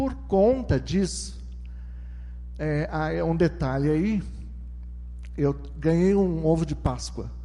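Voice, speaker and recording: Speech comes at a very slow pace with long, frequent pauses, audible room echo and music in the background. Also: man. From southeastern Brazil (São Paulo coast, Minas Gerais). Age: 60s. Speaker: testimony speaker at church. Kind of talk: testimony. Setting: church with congregation.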